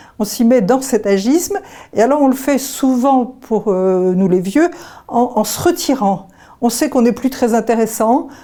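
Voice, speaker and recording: At a fairly slow pace, a woman talks in a fairly high pitch with a dark, mellow tone and ordinary pitch variation. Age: 70s. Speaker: association vice-president, retired childcare worker. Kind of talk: testimony. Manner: hesitant, with frequent fillers.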